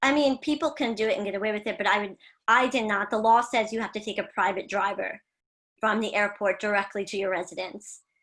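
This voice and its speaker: A woman with an American accent and a plain, everyday voice talks fairly quickly at a fairly high pitch, her intonation lively, on a very clean recording with a silent background. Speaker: travel agency founder. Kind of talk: live-stream interview.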